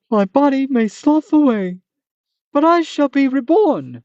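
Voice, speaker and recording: In a put-on character voice, a female-sounding voice speaks at a high pitch and a moderate pace. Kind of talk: formal, archaic. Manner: comical, theatrical.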